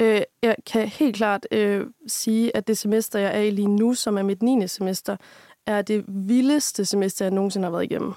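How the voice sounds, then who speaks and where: A woman speaks at a moderate pace in a medium pitch with a dark, mellow tone. Her intonation is fairly even, and the recording is very clean with a silent background. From Denmark, Aarhus. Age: 20s. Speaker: university student. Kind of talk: casual interview chat.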